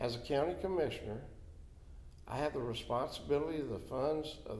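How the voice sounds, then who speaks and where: With a Florida accent and vocal fry, a man speaks at a medium pitch and moderate pace amid audible room echo. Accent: Southern US (Florida). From Florida (Dade City). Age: 70s. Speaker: county commissioner. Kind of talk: interview. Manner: halting, with many fillers.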